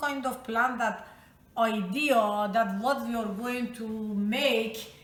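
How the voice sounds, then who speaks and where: A woman with a Persian accent speaks very slowly in a high voice with a bright, sharp tone. Her intonation is fairly even, and there is audible room echo. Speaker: home cook. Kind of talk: cooking tutorial.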